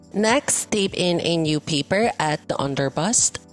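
Very slowly, a woman speaks with very wide pitch swings over music in the background. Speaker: patternmaker. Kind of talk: sewing tutorial voiceover.

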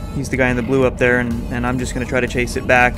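Music plays behind a man as he talks. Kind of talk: commentary.

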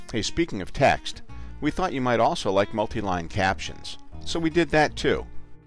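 With music in the background, a man's speech moves along at a moderate pace. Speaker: voice actor. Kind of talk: corporate promo narration. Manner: casual, friendly.

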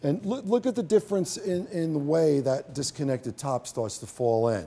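A man talks at a moderate pace. His tone is dark and mellow. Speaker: hairstylist educator. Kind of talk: tutorial. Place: stage.

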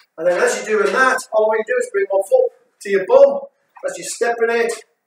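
A man talks at a moderate pace. Audible room echo and light background noise fill the recording. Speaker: fitness instructor. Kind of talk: workout instruction. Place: gym. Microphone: camera far.

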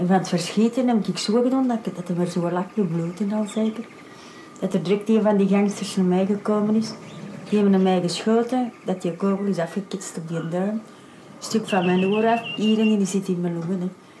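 Over noticeable background noise, a woman at medium pitch talks at a moderate pace. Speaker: crime victim.

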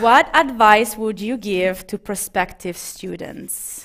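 A woman speaks with an Italian accent at a very slow pace. The background is quiet. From Italy. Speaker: talk show host. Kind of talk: live talk show. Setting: stage with audience. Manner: animated. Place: studio.

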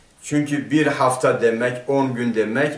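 There is audible room echo as a man speaks at a very slow pace with ordinary pitch variation. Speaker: religious teacher. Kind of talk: lecture. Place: office.

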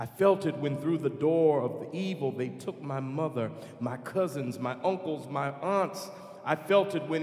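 A man talks in a solemn tone at a fairly slow pace, with ordinary pitch variation. Noticeable background noise runs underneath. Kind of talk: spoken prayer within a choral work, solemn dying-elder monologue. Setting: concert performance, music recording. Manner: solemn, slow, reverent, heartfelt.

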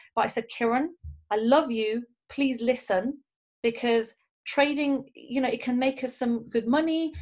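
Over a quiet background, a woman speaks in a high voice with ordinary pitch variation. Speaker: network marketing team leader and trainer; trainer. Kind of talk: motivational training talk. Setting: video call. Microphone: webcam.

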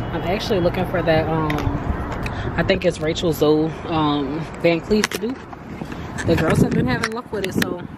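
A woman at a fairly slow pace with ordinary pitch variation, over loud background noise, in a dry sound with no echo. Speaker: vlogger. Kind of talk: casual vlog chat. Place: street. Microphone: phone near.

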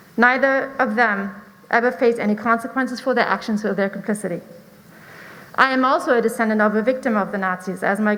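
A woman with a German accent talks at a very fast pace. Her pitch is fairly high, with fairly even intonation. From Germany. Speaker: parent speaking at public comment. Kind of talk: public comment speech. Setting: school board meeting. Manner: formal.

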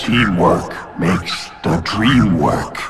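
Over clear background music, a man puts on a raspy character voice at a very deep, low pitch. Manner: halting.

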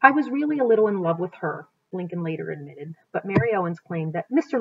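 This is a plain, everyday voice, a woman's, pitched fairly low. She speaks at a fairly quick pace. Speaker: teacher reading aloud. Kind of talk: read-aloud narration. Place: home room. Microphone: webcam.

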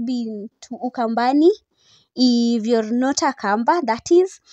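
Dry with no echo and a quiet background, a woman speaks fairly slowly in a dark, mellow tone. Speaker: vlogger. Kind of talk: casual vlog chat. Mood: excited, cheerful. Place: car.

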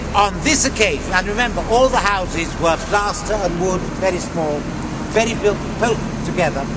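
A man's voice comes through loud background noise, keeping a moderate pace. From Wales. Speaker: tour guide. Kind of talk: guided tour commentary. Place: street.

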